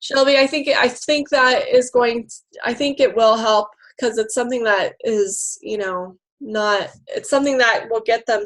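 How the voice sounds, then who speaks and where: On a very clean recording with a silent background, a woman speaks at a moderate pace. Her pitch is fairly high, with ordinary pitch variation. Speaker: fitness coach team leader. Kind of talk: team conference call.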